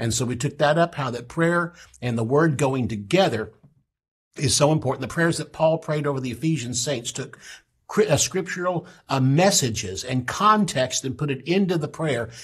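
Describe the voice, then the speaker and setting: A man speaks at a fairly high pitch, somewhat breathy, with lively intonation. The background is quiet. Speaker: pastor and Bible teacher; pastor, Bible teacher. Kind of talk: Bible teaching broadcast. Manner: fast. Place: studio.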